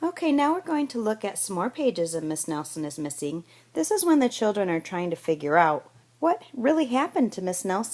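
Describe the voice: Someone reads aloud plainly.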